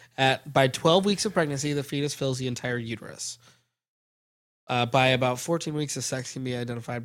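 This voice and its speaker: The recording is very clean, with a silent background. A man with an unremarkable speaking voice talks fairly quickly at a medium pitch with ordinary pitch variation. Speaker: podcast host. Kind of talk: casual comedic chat.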